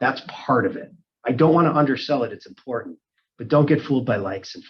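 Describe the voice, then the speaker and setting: A man talks at a very fast pace in a fairly high pitch. His voice is somewhat breathy. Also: lively intonation. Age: 40s. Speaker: real estate team leader. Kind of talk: interview Q&A.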